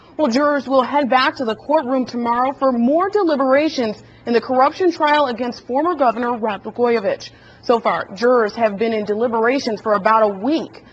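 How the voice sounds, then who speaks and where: Spoken at a fairly quick pace with ordinary pitch variation, the voice comes through over noticeable background noise. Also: woman, high pitch for a woman. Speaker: news anchor. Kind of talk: TV news broadcast.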